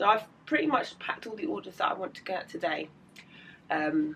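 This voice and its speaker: A woman's medium-pitched voice with a British accent, a bright, sharp tone and very wide pitch swings. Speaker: illustrator vlogger. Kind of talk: casual vlog.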